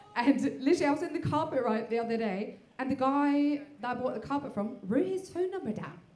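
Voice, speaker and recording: A woman talks at a fairly quick pace. There is noticeable background noise and audible room echo. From Norway. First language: Norwegian. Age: 40s. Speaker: stand-up comedian. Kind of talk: stand-up. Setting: stage with audience. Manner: hesitant, many fillers.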